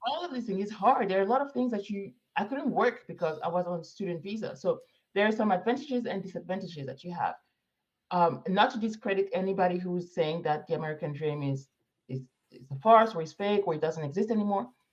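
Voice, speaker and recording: The intonation is lively. The pace is very fast. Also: woman, medium pitch for a woman. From Morocco. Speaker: immigrant professional planning move to Africa. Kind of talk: interview conversation.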